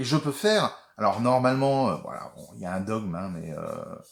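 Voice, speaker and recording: At a fairly slow pace, a man speaks. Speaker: watercolor painting teacher. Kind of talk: tutorial. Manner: halting.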